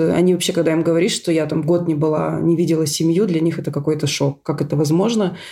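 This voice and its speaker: Flat and monotone, a woman talks at a fairly low pitch. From Russia, Syktyvkar (Komi Republic). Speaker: scientist, emigrant. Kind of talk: casual interview.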